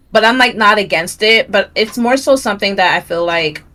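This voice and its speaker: A woman speaks loudly at a medium pitch and a fairly quick pace. Her tone is bright and sharp. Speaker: streamer. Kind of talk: interview. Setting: livestream.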